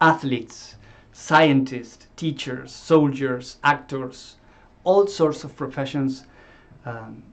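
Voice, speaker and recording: Very slowly and with fairly even intonation, a man speaks in an Argentine accent against a quiet background. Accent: Argentine Spanish accent, noticeable. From Argentina. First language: Spanish. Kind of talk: talk to course group. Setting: live stream. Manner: halting, with fillers and repeats.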